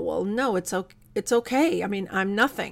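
A woman speaks at a medium pitch in an unremarkable speaking voice, recorded very cleanly against a silent background. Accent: American. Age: 50s. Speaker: podcast host. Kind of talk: solo inspirational talk.

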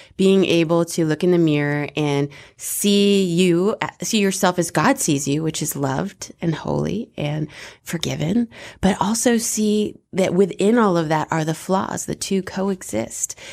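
At a fairly slow pace, an unremarkable speaking voice with ordinary pitch variation comes through on a very clean recording with a silent background. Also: woman, fairly low pitch for a woman. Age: 40s. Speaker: radio host. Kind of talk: casual chat. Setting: studio.

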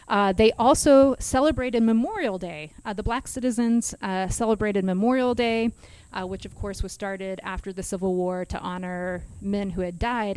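Using a normal speaking voice at medium pitch, a woman with an American accent talks at a moderate pace with ordinary pitch variation. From Kansas. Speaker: history instructor. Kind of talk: casual chat, explaining history.

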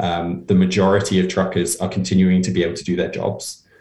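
Talking at a moderate pace, a man has a fairly low pitch. His voice is somewhat breathy. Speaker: progressive campaign practitioner. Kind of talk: casual interview.

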